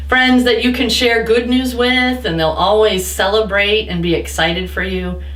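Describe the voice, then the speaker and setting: A woman speaks at a moderate pace with hardly any pauses, amid audible room echo and noticeable background noise. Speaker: pastor. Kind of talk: children's sermon.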